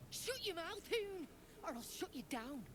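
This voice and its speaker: Someone uses a put-on character voice at an extremely high pitch. The pace is moderate, with loud background noise behind it. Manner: threatening.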